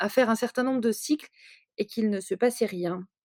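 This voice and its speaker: Dry and close, the sound has no echo. A woman's dark, mellow tone carries ordinary pitch variation. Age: 30s. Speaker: writer. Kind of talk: testimony. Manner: halting, many repetitions and hesitations.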